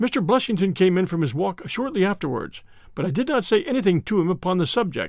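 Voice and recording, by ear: A passage is read out loud. The voice sounds natural.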